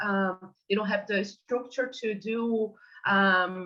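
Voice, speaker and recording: Here a woman with a Portuguese accent talks at a fairly high pitch. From Brazil. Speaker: ecotoxicology researcher. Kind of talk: online workshop discussion. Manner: halting, many fillers.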